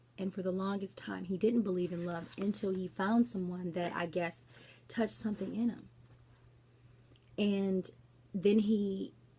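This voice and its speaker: Soft-spoken and somewhat breathy, a woman talks at a moderate pace and medium pitch with fairly even intonation. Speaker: book vlogger. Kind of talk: casual book review vlog. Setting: at home late at night. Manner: quiet, soft-spoken; hesitant, many fillers.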